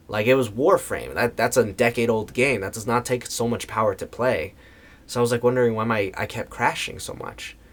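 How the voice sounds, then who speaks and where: An American-accented man speaks fairly quickly at a medium pitch in an unremarkable speaking voice. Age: 20s. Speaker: voice actor. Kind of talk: casual talk to camera.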